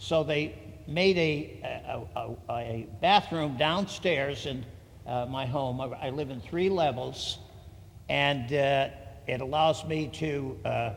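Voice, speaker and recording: A fairly high-pitched man with an American accent, speaking at a very slow pace amid audible room echo. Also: ordinary pitch variation. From Connecticut. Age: 80s+. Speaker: military veteran. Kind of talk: public hearing testimony. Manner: halting, many fillers and repetitions.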